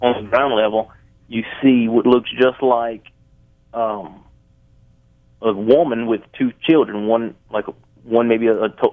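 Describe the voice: A man with a Louisiana accent, fairly low in pitch, at a fairly slow pace. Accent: Southern US, Louisiana.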